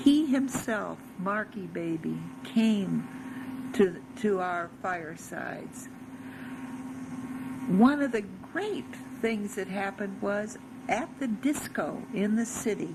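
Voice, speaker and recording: Speaking at a very slow pace with long, frequent pauses, a woman uses lively intonation and a fairly high pitch, with audible room echo and noticeable background noise around her. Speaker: religious storyteller. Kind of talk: personal testimony.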